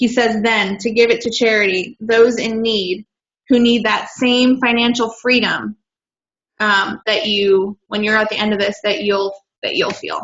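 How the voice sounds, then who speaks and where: Fairly slow and with fairly even intonation, a woman with a normal speaking voice talks at a fairly high pitch. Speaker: team coach presenting. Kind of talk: presentation on a team call.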